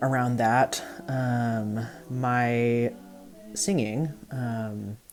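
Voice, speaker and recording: Over music in the background, the speech moves at a very slow pace. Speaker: musician and bodyworker. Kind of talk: casual explainer video. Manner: hesitant, many fillers.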